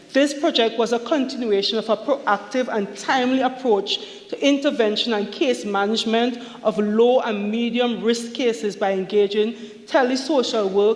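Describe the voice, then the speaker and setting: Over noticeable background noise, a woman with a fairly high voice talks at a moderate pace with fairly even intonation. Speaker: government minister. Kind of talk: parliamentary budget speech. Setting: parliament chamber. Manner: formal.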